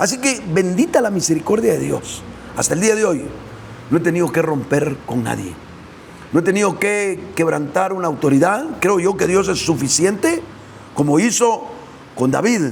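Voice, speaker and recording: Lively intonation at a moderate pace, with long, frequent pauses, audible room echo and noticeable background noise. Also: man, high pitch for a man. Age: 60s. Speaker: preacher. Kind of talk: sermon. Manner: hesitant fillers.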